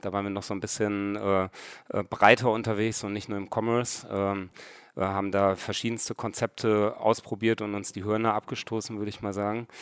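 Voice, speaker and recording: In a very clean recording with a silent background, a man speaks at a moderate pace. His fairly low voice has monotone, flat intonation. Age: 30s. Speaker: e-commerce startup founder and CEO. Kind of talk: interview. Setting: record listening room in Hamburg.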